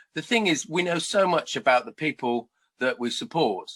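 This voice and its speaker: The recording is very clean, with a silent background. A man talks at a fairly quick pace in a bright, sharp tone with vocal fry and very wide pitch swings. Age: 50s. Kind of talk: interview. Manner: animated.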